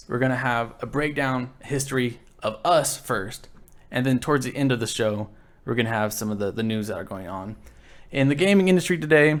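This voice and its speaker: Here is a man with a medium pitch and an ordinary speaking voice. He talks at a fairly quick pace with lively intonation. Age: 20s. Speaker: podcast co-host. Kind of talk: casual chat.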